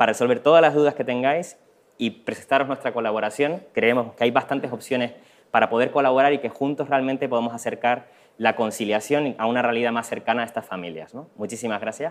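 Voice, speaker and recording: With ordinary pitch variation, a man speaks at a very fast pace. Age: young. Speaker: social entrepreneur; presenter. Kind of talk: conference presentation. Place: hall. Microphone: lapel.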